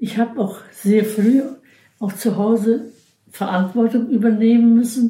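A woman talks at a very slow pace with a fairly high pitch. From Pomerania, near Kolberg. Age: 90s. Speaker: retired nurse. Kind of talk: life-story interview. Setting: her room in a care home.

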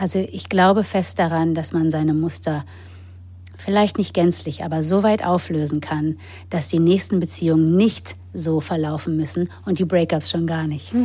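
The voice is somewhat breathy and dark, mellow in tone, with lively intonation. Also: woman, very deep, low pitch for a woman, moderate pace. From grew up in England, Germany and the US. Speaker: actress, author and yoga teacher. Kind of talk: personal testimony in interview. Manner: hesitant with fillers.

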